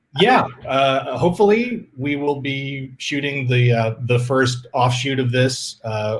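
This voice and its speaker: With hardly any pauses, a man speaks fairly slowly in a somewhat breathy, medium-pitched voice with ordinary pitch variation. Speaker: filmmaker. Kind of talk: Q&A interview. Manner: halting, stuttering.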